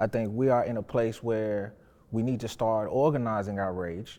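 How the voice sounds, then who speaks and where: At a moderate pace, the voice has a dark, mellow tone and fairly even intonation over a quiet background. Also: man. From Nashville, Tennessee. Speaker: community organizer and advocate. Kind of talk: panel discussion.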